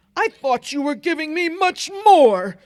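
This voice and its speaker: Putting on a character voice, a woman speaks at an extremely high pitch and moderate pace, with a dry, close sound and no echo. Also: very wide pitch swings. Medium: read story.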